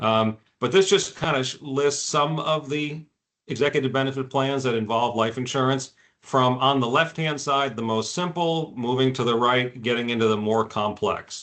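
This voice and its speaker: This is an unremarkable speaking voice at a moderate pace. The pitch varies in an ordinary way. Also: man, medium pitch for a man. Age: 60s. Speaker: executive benefits insurance specialist. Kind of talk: webinar presentation. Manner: casual, with frequent fillers.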